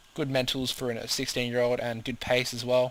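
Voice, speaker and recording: This man speaks with an Australian accent at a medium pitch and a fairly quick pace. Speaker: video game commentator. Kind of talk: gameplay commentary. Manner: fast; hesitant, many fillers.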